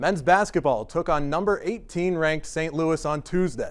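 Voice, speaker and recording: This man has an ordinary speaking voice, fairly high in pitch, with ordinary pitch variation. He keeps a moderate pace in a very clean recording with a silent background. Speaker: sports broadcaster. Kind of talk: studio news anchoring.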